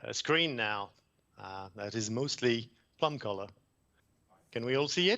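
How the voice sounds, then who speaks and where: A man with a French accent and medium pitch talks at a fairly slow pace, using lively intonation, big swings in loudness, and long, frequent pauses. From France. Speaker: environmental consultant presenter. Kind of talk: conference presentation. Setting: video call.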